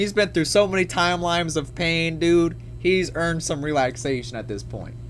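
With music behind him, a man speaks rather briskly. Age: 20s. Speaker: gaming youtuber reading a visual novel. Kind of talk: let's play commentary with reading aloud. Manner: animated.

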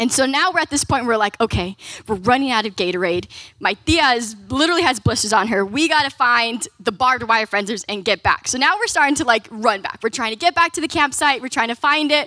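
A woman speaks very fast at a high pitch, her tone bright and sharp. The sound is dry with no echo against a quiet background. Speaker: speaker. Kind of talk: sermon storytelling. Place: hall. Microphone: handheld.

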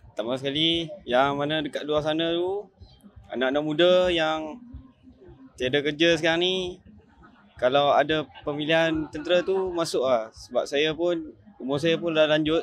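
A man's fairly high voice, fairly slow, with fairly even intonation and a dry sound with no echo. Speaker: army recruit. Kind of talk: news interview. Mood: proud, calm. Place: open country. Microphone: handheld.

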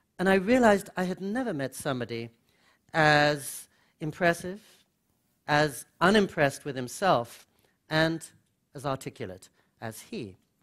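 Against a quiet background, a man talks at a fairly slow pace with long, frequent pauses. His pitch swings very widely and his loudness rises and falls a lot. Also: fairly high pitch for a man. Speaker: author and speaker; speaker. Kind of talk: lecture. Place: hall. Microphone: podium.

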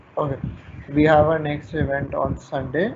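Against noticeable background noise, a man with a Pakistani accent speaks in a monotone, flat intonation. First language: Urdu. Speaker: event organizer; webinar host. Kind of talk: event announcement. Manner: halting. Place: home room. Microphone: webcam.

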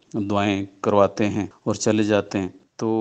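A man talks with a fairly low pitch. His intonation stays monotone and flat. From Pakistan, Mansehra district. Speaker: government official and radio broadcaster. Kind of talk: interview.

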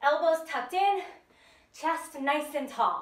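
Audible room echo colors the recording. The woman speaks at a high pitch. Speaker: fitness instructor. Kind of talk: tutorial. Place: home room. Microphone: camera far.

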